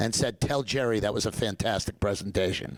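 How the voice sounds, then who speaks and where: In a very clean recording with a silent background, a man talks at a moderate pace in an animated tone. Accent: New York. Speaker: dentist and professor. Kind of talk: lecture.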